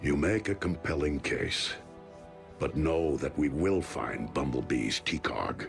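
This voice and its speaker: Over clear background music, a man speaks at a fairly slow pace in a cartoonish character voice with a very deep, low pitch. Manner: calm, measured, grave.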